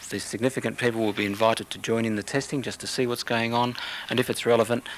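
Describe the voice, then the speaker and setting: Noticeable background noise sits under a man's medium-pitched voice. He speaks at a very fast pace with monotone, flat intonation. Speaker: water quality program spokesperson. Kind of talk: radio interview answer.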